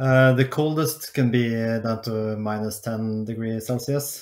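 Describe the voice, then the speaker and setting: In a Norwegian accent, a man speaks at a fairly slow pace and medium pitch, with fairly even intonation. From Norway, Oslo. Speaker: podcast producer. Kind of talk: casual chat. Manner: halting, many hesitations.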